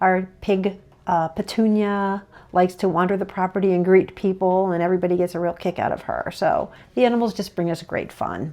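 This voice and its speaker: The voice has a dark, mellow tone and a monotone, flat intonation. The background is quiet. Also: woman, medium pitch for a woman. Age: 60s. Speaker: animal sanctuary owner and vlogger. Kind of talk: casual personal vlog talk to camera. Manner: conversational with frequent fillers.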